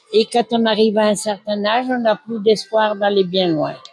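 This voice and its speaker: Over music in the background, a woman with a fairly high pitch and ordinary pitch variation is recorded with a dry, close sound and no echo. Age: 80s+. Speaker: nursing home resident. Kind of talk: testimony. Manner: halting.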